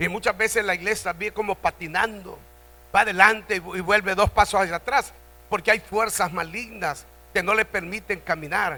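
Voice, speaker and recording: Delivered in a raised, projected voice with a bright, sharp tone, the speech keeps a moderate pace and fairly even intonation. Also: man, high pitch for a man. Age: 70s. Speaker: pastor. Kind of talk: sermon. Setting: church convention.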